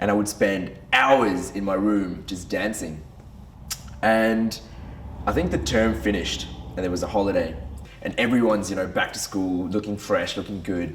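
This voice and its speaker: An animated voice with ordinary pitch variation moves at a moderate pace, broken by long, frequent pauses, with audible room echo. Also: man, fairly low pitch for a man. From Brunei and Western Australia. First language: Tamil. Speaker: men's group leader. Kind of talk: personal testimony. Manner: casual, animated.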